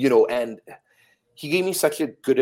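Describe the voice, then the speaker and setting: A man with a Canadian accent, talking at a fairly quick pace. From Calgary, Canada. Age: 40s. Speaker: wrestling referee. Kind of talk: casual chat.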